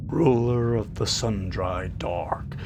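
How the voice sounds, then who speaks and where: Over noticeable background noise, a man with a fairly low pitch talks at a very slow pace. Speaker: audiobook narrator. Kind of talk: fantasy audiobook reading of in-game book.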